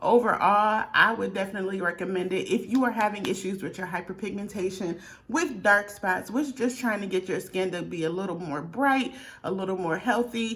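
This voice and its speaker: A woman talks at a fairly quick pace with a medium pitch. Noticeable background noise can be heard. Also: ordinary pitch variation. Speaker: beauty vlogger. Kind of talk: product review. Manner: fast.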